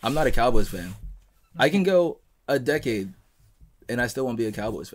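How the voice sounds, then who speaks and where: The delivery moves at a fairly quick pace with lively intonation, big swings in loudness, and long, frequent pauses. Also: man. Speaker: podcast host. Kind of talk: casual chat. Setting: studio. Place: home room. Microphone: studio mic.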